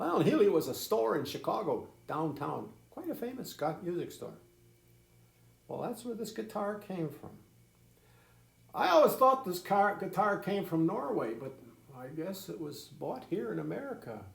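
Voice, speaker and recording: In a room with audible echo, a man with a high-pitched voice speaks at a moderate pace, with very wide pitch swings, big swings in loudness and long, frequent pauses. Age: 80s+. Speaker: grandfather storyteller. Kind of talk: casual storytelling to children. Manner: halting, repetitive.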